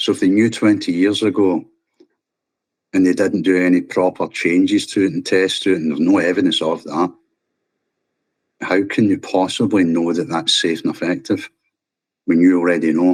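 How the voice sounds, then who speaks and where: With a Scottish accent, a man speaks in a passionate tone at a moderate pace, taking long, frequent pauses. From Scotland. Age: 50s. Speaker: vaccine-injured scaffolder. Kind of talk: interview testimony. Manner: passionate, forceful.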